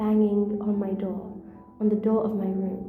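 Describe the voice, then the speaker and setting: A woman with a non-native accent at a fairly high pitch and fairly slow pace, with music in the background and audible room echo. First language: not English. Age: 20s. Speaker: storyteller. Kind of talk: personal storytelling monologue. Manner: halting.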